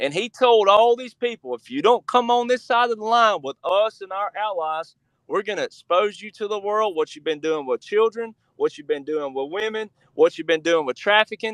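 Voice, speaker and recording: A man with an Alabama accent speaks at a moderate pace and high pitch, with lively intonation and an animated tone. His loudness swings widely in a dry, close sound with no echo. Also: quiet background. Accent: Southern US (Alabama). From US South, Alabama. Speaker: researcher and author. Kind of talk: interview.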